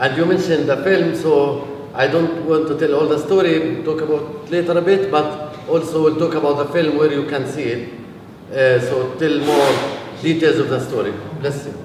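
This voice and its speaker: Over noticeable background noise and audible room echo, a man with a Palestinian accent talks at a fairly high pitch with fairly even intonation. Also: moderate pace. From Palestine. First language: Arabic. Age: 40s. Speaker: peace activist. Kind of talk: talk to a visiting group. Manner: hesitant, many fillers.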